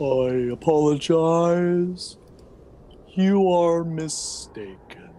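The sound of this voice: A put-on character voice at a middle pitch and very slow pace, with clear background noise.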